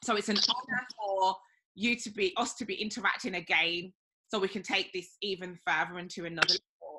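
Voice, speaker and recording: A woman talks at a fairly quick pace with ordinary pitch variation over noticeable background noise. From Birmingham, England. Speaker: interviewer, women's wellness podcaster. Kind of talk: interview. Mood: earnest, reflective. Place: home room. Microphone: video call.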